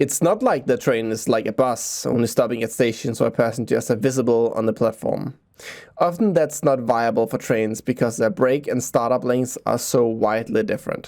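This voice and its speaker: Pitched in the medium range, a man talks with a Danish accent. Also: fairly even intonation, moderate pace. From Denmark. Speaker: transit video creator. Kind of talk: explainer video narration.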